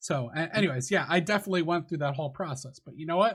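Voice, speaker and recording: Somewhat breathy, the man's voice races along at a very fast pace. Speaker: gaming streamer and youtuber. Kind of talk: casual interview chat. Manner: tends to trail off.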